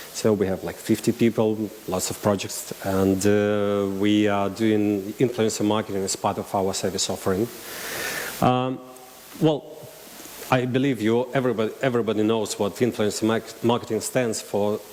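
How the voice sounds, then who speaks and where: A man with a Russian accent speaks in a fairly low voice at a moderate pace. His intonation is fairly even, with noticeable background noise. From Russian-speaking region. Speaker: marketing agency director. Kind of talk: conference talk. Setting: stage with audience. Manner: halting.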